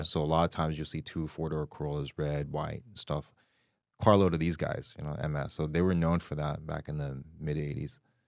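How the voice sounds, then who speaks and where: A man with an American accent, very deep and low, flat and monotone, at a fairly quick pace, on a very clean recording with a silent background. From Los Angeles, Hollywood. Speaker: author, former gang member. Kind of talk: interview answer. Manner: casual, conversational.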